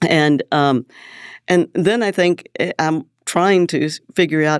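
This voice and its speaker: A woman with an American accent speaks in a very deep, low pitch at a moderate pace with ordinary pitch variation, her voice dry and close with no echo in a very clean recording against a silent background. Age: 70s. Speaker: real estate developer. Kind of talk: interview. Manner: halting.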